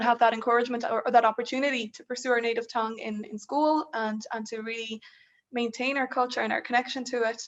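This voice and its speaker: A woman with an Irish accent talks at a very fast pace and a high pitch. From Ireland, raised from childhood by Polish parents. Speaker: student union leader, panelist. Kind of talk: panel discussion. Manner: hesitant, many repeated words.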